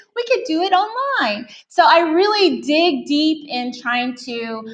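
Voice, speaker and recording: The speaker has an American accent and very wide pitch swings. Room echo is audible. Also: woman. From Texas. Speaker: teacher presenter. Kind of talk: conference presentation. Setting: conference room with audience.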